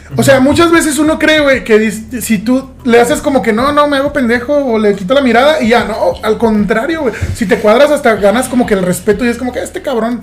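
Noticeable background noise runs under a man's voice. His pitch is extremely high with ordinary variation, and his pace is fairly quick. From southern Mexico / Caribbean coast. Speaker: podcast host. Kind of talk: casual chat.

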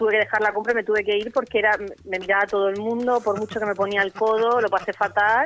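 A woman talks very fast, her fairly high voice keeping a fairly level intonation. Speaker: radio co-host. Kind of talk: casual chat.

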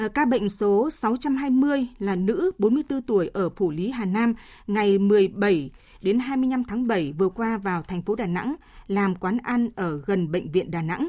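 Speaking at a very slow pace, a woman with a medium pitch and a dark, mellow tone uses lively intonation and big swings in loudness, on a very clean recording with a silent background. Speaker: radio newsreader. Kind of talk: news reading. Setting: studio. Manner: formal.

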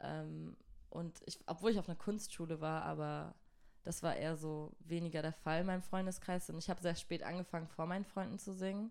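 A woman's fairly low, ordinary speaking voice, fairly quick, with fairly even intonation. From southern Germany (Göppingen near Stuttgart). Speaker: singer-songwriter. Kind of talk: casual interview. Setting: studio.

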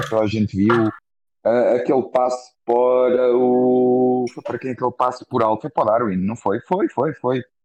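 The speaker is a man going at a moderate speed. His sound is dry and close, without any echo. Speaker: football commentator. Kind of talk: heated football discussion. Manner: animated.

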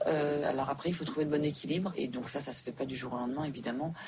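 Against noticeable background noise, a woman with a very deep, low pitch talks very fast with fairly even intonation. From Switzerland. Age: 40s. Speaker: entrepreneur. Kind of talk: interview. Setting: back room of a restaurant.

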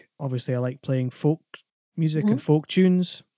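A man is speaking here. He has an Aberdeenshire accent. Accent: Scottish (Aberdeenshire). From northeast Scotland, Aberdeenshire. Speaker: composer and double bass player. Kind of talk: interview.

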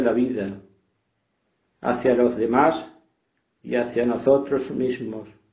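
Audible room echo follows a man who talks at a fairly slow pace. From Spain, Extremadura (Fregenal de la Sierra). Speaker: author. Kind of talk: reflective talk on gratitude. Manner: calm.

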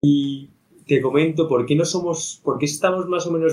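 A man with a plain, everyday voice talks at a fairly high pitch, his intonation fairly even. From Madrid, Spain. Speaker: startup co-founder. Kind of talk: casual interview.

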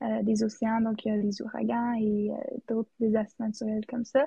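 This is a woman speaking. Her intonation stays flat and monotone. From Yukon, Canada (Whitehorse). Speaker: student podcast co-host. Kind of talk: casual chat.

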